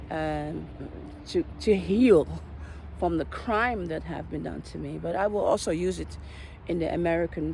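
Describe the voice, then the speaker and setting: A woman speaks at a moderate pace in a Dutch accent. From Netherlands. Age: 40s. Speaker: vlogger. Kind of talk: personal monologue vlog. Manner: halting.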